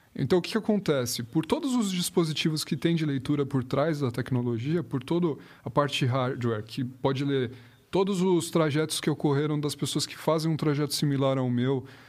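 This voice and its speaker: Moving at a moderate pace, a man with an ordinary speaking voice talks at a fairly high pitch with ordinary pitch variation. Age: 20s. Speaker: project manager in the automotive industry. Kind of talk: casual chat.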